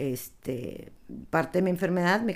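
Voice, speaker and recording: This is a woman speaking. Her pace is fairly slow. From Palestine. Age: 50s. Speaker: interviewee sharing life story. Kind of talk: personal testimony.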